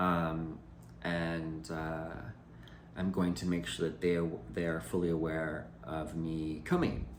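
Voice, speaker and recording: A man's very deep, low voice at a very slow pace, monotone and flat, with long, frequent pauses and audible room echo. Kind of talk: personal video message. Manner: loud; halting.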